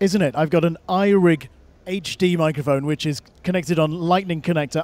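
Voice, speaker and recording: The sound is dry, with no echo. A man speaks with fairly even intonation. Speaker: tech product demonstrator. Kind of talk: product demo. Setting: trade show floor. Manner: shouting into mic. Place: hall. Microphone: various devices, phone and codec lines; low level on codec line.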